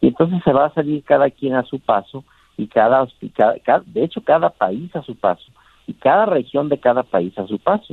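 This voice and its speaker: His pitch is fairly high and swings very widely. The man keeps a moderate pace. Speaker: doctor. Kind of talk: interview.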